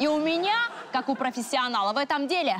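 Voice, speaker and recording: At a moderate pace, a woman speaks in a high pitch over light background noise. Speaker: actress playing a realtor. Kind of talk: scripted comedy dialogue. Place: studio.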